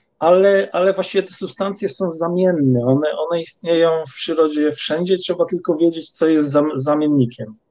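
This man's voice sits high in pitch, with a dark, mellow tone. He talks at a moderate pace. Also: ordinary pitch variation, hardly any pauses. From Poland. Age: 50s. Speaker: supplement producer and herbalism student. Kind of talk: podcast interview. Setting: studio.

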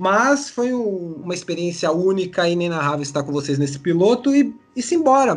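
Hardly pausing at all, a man speaks in a high voice whose pitch swings very widely. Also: moderate pace. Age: 30s. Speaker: podcast host. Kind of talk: casual chat.

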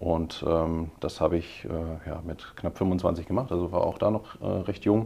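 With a very deep, low pitch, a man speaks in fairly even intonation. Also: fairly slow pace. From Heidelberg, Germany. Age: 30s. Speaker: financial sales executive. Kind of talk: podcast interview. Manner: hesitant, many fillers.

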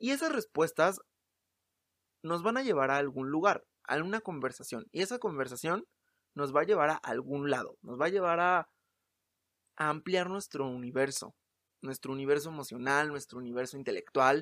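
A man with a Mexico City accent, fairly high pitch, bright, sharp tone and lively intonation, long, frequent pauses, in a very clean recording with a silent background. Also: moderate pace. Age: 20s. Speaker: podcast host, actor and playwright. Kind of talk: casual solo monologue. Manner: halting, many repetitions.

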